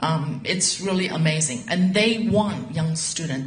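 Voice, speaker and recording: Audible room echo and noticeable background noise accompany a woman who talks at a fairly slow pace with lively intonation. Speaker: university professor. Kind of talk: info session presentation.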